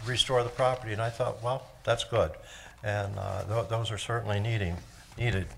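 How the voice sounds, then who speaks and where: A man's somewhat breathy, monotone voice with flat intonation and audible room echo. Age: 80s+. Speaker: resident speaking at public comment. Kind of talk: public comment at council meeting. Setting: council chamber. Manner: hesitant, many fillers.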